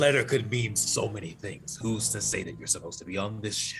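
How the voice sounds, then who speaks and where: Putting on a character voice, a man talks at a fairly quick pace in a fairly low pitch with ordinary pitch variation, over clear background noise. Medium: actual play. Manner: evasive, noncommittal.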